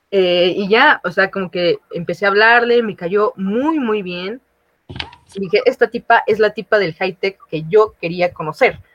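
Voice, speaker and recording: Here is a woman with a normal speaking voice at medium pitch. She talks at a fairly slow pace with ordinary pitch variation. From Mexico, outside Mexico City. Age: 20s. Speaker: recent university graduate. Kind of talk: casual chat.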